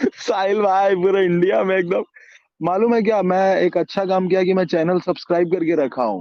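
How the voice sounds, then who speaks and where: A man's high voice at a moderate pace, with fairly even intonation. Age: 20s. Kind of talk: testimony.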